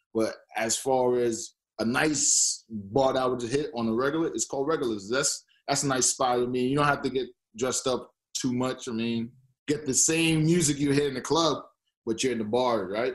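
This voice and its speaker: A man has a normal speaking voice with an American accent. His pitch is medium and his pace moderate. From New York (born Boston). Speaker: former athlete, Toronto resident. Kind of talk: casual interview.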